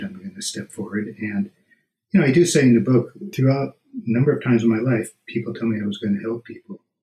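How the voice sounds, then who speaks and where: Talking very fast, a man with a medium-pitched, dark, mellow, somewhat breathy voice makes very wide pitch swings. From US West Coast, San Fernando Valley. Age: 60s. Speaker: author. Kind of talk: interview.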